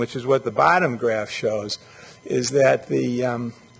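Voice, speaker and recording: Noticeable background noise runs under the audio. A man speaks at a fairly slow pace. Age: 60s. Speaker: urban planning expert. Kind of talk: lecture. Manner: halting, with many fillers.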